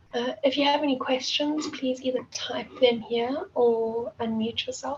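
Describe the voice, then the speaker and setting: With noticeable background noise, a woman speaks at a high pitch, at a fairly slow pace, with fairly even intonation. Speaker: competition organizer presenting to students. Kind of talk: online workshop instructions. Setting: video call.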